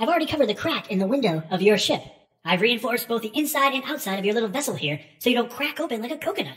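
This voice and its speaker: A female-sounding, put-on character voice talks at a very fast pace. Its pitch is fairly high. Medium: read story. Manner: theatrical, fussy, long-winded.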